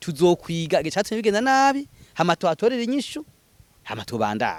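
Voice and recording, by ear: A man speaks at a fast pace with high pitch. His pitch swings very widely.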